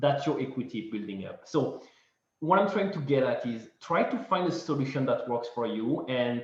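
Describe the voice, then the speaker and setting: Speaking at a fairly slow pace, a man sounds somewhat breathy amid audible room echo. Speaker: real estate investor presenter. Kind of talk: webinar presentation.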